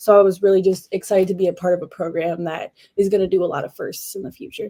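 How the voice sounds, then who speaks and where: A woman's medium-pitched, dark, mellow voice with an American accent, flat and monotone in intonation. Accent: slight Canadian, some say American-sounding. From Canada, Northern Ontario (Sudbury). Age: young. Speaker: college basketball player. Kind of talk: podcast interview.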